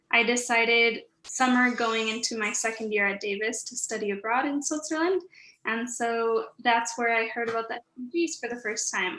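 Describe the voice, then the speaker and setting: A woman with a Spanish accent talks at a moderate pace with ordinary pitch variation, her voice high and her tone bright and sharp. The very clean recording has a silent background. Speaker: recent graduate, student panelist. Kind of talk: panel discussion.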